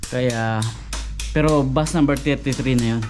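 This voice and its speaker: A man speaks at a very slow pace, with audible room echo and noticeable background noise around him. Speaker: vlogger working at a bowling alley. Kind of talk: casual vlog narration.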